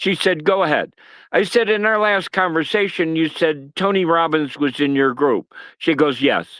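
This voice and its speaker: On a very clean recording with a silent background, a man with an American accent talks at a fairly slow pace and high pitch, his tone bright and sharp and his intonation lively. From US Northeast (Massachusetts). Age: 70s. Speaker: retired sales executive, political activist. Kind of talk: casual chat.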